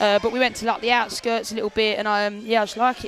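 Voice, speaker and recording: A woman's fairly high voice at a very fast pace, with music in the background. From South London. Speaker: fighter. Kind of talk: casual chat. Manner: animated.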